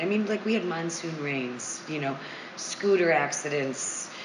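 A woman talks with an American accent and lively intonation. Audible room echo and noticeable background noise fill the recording. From US Midwest, Monroe, Michigan. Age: 40s. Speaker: yoga studio owner and teacher. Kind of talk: casual interview chat.

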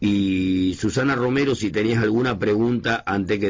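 In a normal speaking voice, a man talks at a moderate pace, fairly low in pitch with ordinary pitch variation. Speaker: radio host. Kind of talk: radio interview. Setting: radio studio.

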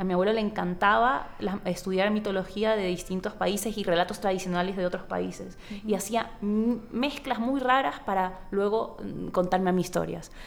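A woman's plain, everyday voice at a medium pitch, with ordinary pitch variation and a moderate pace. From Ecuador, Guayaquil (coast). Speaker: novelist. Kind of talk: interview conversation. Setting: book fair.

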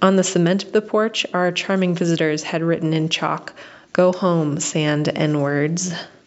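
Against noticeable background noise, a woman with an American accent speaks at a fairly slow pace. Her pitch is fairly low and her intonation fairly even. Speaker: listener sending a voice memo. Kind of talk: recorded personal testimony. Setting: voice memo recording.

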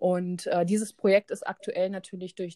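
In a dry, close recording with no echo, a woman speaks at a moderate pace in a dark, mellow tone, her fairly low pitch held monotone and flat. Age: 30s. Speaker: animal welfare volunteer and photographer. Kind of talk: interview. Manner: many filler sounds (ähm, äh).

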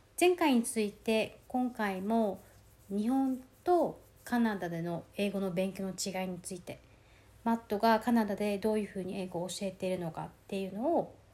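A woman's dark, mellow voice at medium pitch, with ordinary pitch variation and a moderate pace. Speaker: podcast host. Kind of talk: casual chat.

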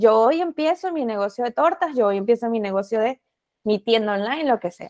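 A woman speaks at a moderate pace with lively intonation and fairly high pitch, in a dry, close sound with no echo. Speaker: podcast host. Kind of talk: podcast interview.

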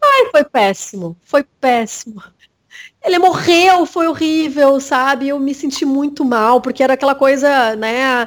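Fairly slow, high-pitched speech from a woman, pitch varying in an ordinary way. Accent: southern Brazilian. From Rio Grande do Sul, Brazil (Bagé, Uruguay border). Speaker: journalist. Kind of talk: interview. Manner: halting, many repetitions.

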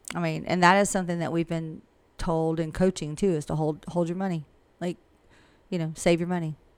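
The delivery is fairly quick and monotone, with flat intonation. Long, frequent pauses recur throughout. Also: woman, fairly low pitch for a woman. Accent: Southern US. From US South, Georgia (Millen). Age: 50s. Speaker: real estate broker. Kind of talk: casual interview.

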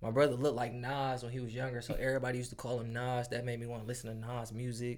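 Over audible room echo, a man with an American accent rattles along at a very fast pace, monotone and flat, with hardly any pauses. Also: medium pitch for a man. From Detroit area, Michigan. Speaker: recording artist. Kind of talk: casual chat.

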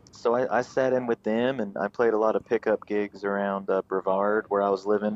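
A fairly quick man with a North Carolina accent, fairly low in pitch, fairly even in intonation, very even in loudness and with hardly any pauses. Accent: Southern US (North Carolina). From North Carolina, Raleigh outskirts. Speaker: bluegrass musician. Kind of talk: casual interview chat. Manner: halting, many fillers and repeats.

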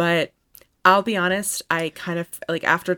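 A woman's voice has a bright, sharp tone with vocal fry. The sound is dry and close, with no echo. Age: 20s. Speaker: tennis podcast co-host. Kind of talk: casual chat. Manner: animated.

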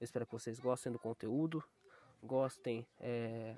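Dry and close with no echo, a man's dark, mellow voice moves at a moderate pace. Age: 20s. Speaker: graphic designer. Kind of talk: casual monologue. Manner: halting.

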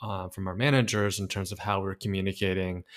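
A man speaks at a moderate pace in a fairly low voice. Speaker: startup founder. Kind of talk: interview. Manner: halting, many filler words.

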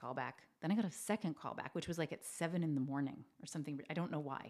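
A woman with a very deep, low voice, very fast pace and lively intonation. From Canada (New Brunswick, Maritimes). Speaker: actress. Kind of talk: casual interview chat. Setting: studio with shared mics.

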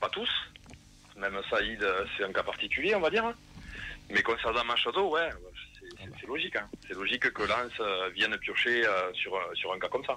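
A man speaks with a Toulouse accent at a moderate pace. He leaves long, frequent pauses. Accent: southern French (Toulouse). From Toulouse, France. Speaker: football supporter. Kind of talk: casual radio interview. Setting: phone call.

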